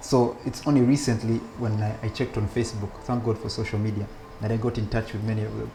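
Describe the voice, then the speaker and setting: Over music in the background, the speech comes at a very fast pace in a monotone, flat intonation. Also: man, medium pitch for a man. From Uganda, childhood partly in Belgium. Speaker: rabbi. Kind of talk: interview conversation. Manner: hesitant, many restarts.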